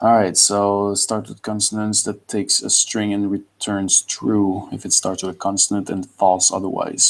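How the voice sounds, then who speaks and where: Speaking at a moderate pace with a Quebec accent, a man keeps a fairly low pitch and a monotone, flat intonation. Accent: French Canadian accent in English. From Quebec (French Canada). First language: French. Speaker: computer science student. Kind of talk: pair programming session.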